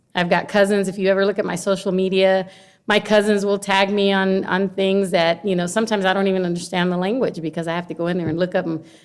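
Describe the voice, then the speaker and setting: A woman in a Spanish accent at a very fast pace, medium pitch and monotone, flat intonation, with hardly any pauses. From Honduras, raised in Carson, California. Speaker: longshore worker and educator, political candidate. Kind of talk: casual interview chat.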